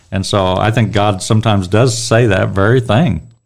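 Here a man has an unremarkable speaking voice, fairly low in pitch with ordinary variation, at a moderate pace. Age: 60s. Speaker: church Bible teacher. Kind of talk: Bible study discussion.

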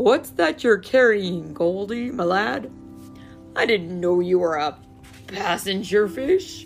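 A female-sounding, croaky put-on character voice at a middle pitch talks at a fairly slow pace over clear music in the background. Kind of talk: friendly, familiar.

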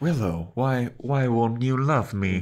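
In a put-on character voice, a man talks at a medium pitch. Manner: timid.

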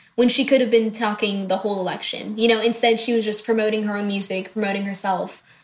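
A woman with an American accent talks at a very fast pace in a fairly high pitch and a monotone, flat intonation, over noticeable background noise. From Tennessee, US South. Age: 19. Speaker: poet and student. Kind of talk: casual interview. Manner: light-hearted.

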